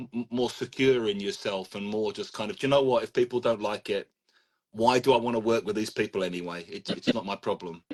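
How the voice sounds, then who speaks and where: With a London accent, a man speaks fairly quickly at medium pitch with ordinary pitch variation, the sound dry and close with no echo. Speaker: language teacher and trainer. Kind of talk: casual chat. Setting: live video stream.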